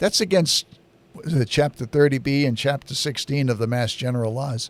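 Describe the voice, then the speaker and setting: Against noticeable background noise, a fairly high-pitched man speaks at a fairly quick pace. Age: 60s. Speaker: local public-access TV host and town activist. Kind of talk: political commentary monologue. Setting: studio.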